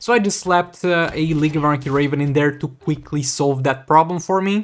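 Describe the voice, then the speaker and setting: Speaking with a Romanian accent, a man with a fairly high pitch talks at a fairly quick pace with ordinary pitch variation. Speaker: gaming YouTuber. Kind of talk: gameplay commentary.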